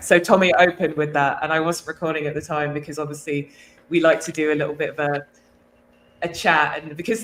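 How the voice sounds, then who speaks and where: Speaking with an English accent, a woman has a fairly low pitch. Her pace is fairly quick. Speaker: podcast host. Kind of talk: casual chat.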